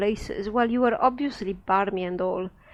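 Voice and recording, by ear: With ordinary pitch movement, the text is read aloud in a natural voice.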